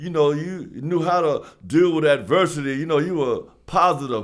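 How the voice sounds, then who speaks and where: A man's high voice with a New York accent and ordinary pitch variation. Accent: New York City. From New York, South Bronx. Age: 70s. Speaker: former basketball player. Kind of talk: casual storytelling interview. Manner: halting, many fillers.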